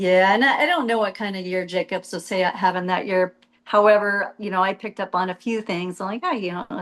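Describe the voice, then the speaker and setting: An unremarkable speaking voice from a woman with an American accent, medium in pitch, fairly even in intonation and fairly quick in pace. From US Southwest, Arizona. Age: 50s. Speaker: retired jet ski racer. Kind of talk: casual interview.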